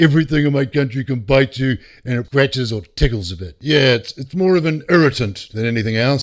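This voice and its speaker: A man's fairly high pitch and lively intonation in a New Zealand accent. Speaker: true crime narrator. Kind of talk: casual narration. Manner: animated.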